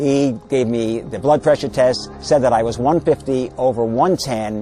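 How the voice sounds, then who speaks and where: A man's voice at a medium pitch. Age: 60s. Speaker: patient giving testimony. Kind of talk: testimony. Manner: halting.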